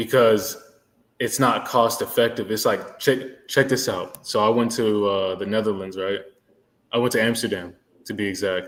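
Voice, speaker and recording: A man with an American accent talks at a moderate pace in a normal speaking voice. His pitch is medium and his intonation fairly even. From Georgia, US. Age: 30s. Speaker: live streamer. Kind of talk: casual chat.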